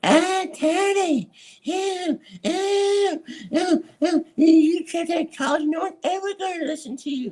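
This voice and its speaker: The pitch sits extremely high and the pace is fairly slow as the speaker performs a put-on character voice. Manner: silly, exaggerated, dismissive.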